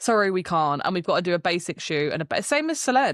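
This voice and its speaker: A woman with a British accent at a medium pitch and a fairly quick pace, on a very clean recording with a silent background. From UK. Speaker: brand strategist. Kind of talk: casual chat.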